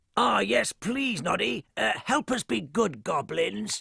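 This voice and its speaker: Using a cartoonish character voice, a man speaks at a fairly high pitch and a fairly slow pace. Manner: sneaky, plotting.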